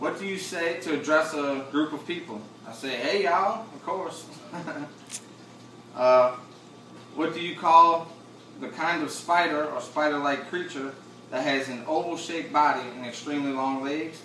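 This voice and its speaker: Through audible room echo and light background noise, a man speaks at a moderate pace with ordinary pitch variation and long, frequent pauses. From Chalmette, Louisiana, near New Orleans. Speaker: vlogger. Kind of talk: accent tag word list and casual answers. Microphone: camera far.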